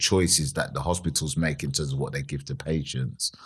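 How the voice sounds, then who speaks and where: The voice belongs to a man. It sits very deep and low in pitch. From London, England and Nigeria. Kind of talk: casual interview chat.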